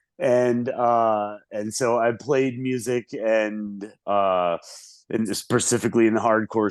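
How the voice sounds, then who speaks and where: This man with an American accent talks at a medium pitch. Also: quiet background. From US South. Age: 40s. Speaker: musician. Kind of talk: casual chat.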